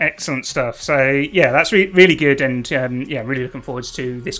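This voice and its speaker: There is noticeable background noise as a man talks at a fairly quick pace in a fairly high voice. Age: 40s. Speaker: live show host. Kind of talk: live show discussion.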